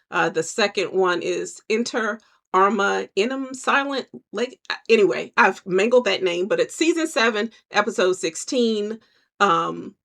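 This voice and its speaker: Her voice fairly high with vocal fry, a woman speaks at a fairly slow pace in an animated tone with lively intonation. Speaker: podcast host. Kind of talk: casual solo commentary.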